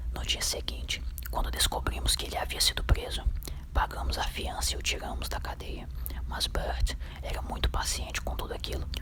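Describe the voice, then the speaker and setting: A man whispers, neither fast nor slow, with clear background noise behind him. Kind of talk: ASMR book reading. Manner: whispered.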